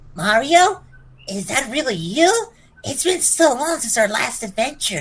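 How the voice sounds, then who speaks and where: Here is a high-pitched, put-on character voice at a moderate pace. Its pitch swings very widely. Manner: cartoonish, excited.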